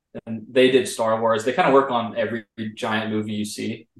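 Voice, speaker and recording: There is audible room echo as a man with an American accent talks at a moderate pace. His pitch is medium, with ordinary variation. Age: 20s. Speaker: 3D animation artist, former student. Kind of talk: interview. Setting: video call.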